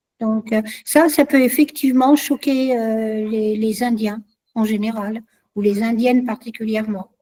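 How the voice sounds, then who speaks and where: With a dark, mellow tone, the voice is somewhat breathy, its intonation fairly even and its pace fairly slow. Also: woman, fairly high pitch for a woman. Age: 60s. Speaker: guest speaker on culture. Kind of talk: online discussion session.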